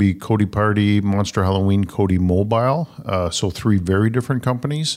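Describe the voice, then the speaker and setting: A man with a Canadian accent has a plain, everyday voice, fairly low in pitch with ordinary variation. He keeps a moderate pace in a very clean recording with a silent background. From Ottawa, Canada. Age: 50s. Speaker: entrepreneur. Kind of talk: casual interview. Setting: studio.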